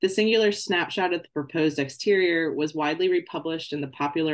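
The voice runs at a very fast pace over a quiet background. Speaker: candidate. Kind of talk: lecture. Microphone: video call.

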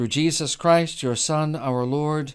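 In a solemn tone, a man speaks at a fairly slow pace with ordinary pitch variation against a quiet background. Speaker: prayer leader. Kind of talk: fervent prayer. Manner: earnest, pleading, solemn. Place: home room. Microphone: studio mic.

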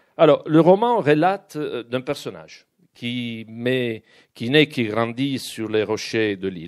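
With lively intonation and a medium pitch, a man speaks over a quiet background. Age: 50s. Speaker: publisher and event moderator. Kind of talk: moderated interview at a book event. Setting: bookshop event with live audience. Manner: halting.

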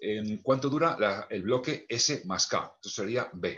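Lively in intonation, a man speaks at a very slow pace. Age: old. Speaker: music theory professor. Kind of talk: lecture. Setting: video call. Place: home room. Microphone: webcam.

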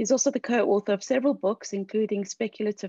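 A woman talks at a very fast pace with a dark, mellow tone and ordinary pitch variation. The sound is dry with no echo, over a quiet background. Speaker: PhD student and lecturer. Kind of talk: formal introductions. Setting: video call. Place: home room. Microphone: video call.

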